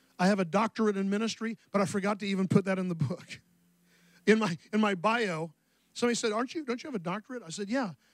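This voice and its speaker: A man speaks at a very fast pace in a high pitch with ordinary pitch variation. The sound is dry with no echo, and the background is quiet. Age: 60s. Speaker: pastor. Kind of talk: sermon. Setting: church. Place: church. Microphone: handheld.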